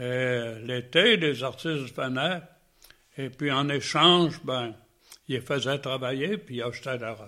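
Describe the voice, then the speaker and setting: A man speaks at a very slow pace. His loudness swings widely. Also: medium pitch for a man, ordinary pitch variation. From Quebec, Saguenay (Chicoutimi). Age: 90s. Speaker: painter. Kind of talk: interview. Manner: halting.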